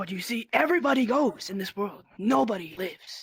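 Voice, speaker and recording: A man performs a put-on character voice, pitched high. He moves at a fairly quick pace with very wide pitch swings. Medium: machinima. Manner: cold, curt.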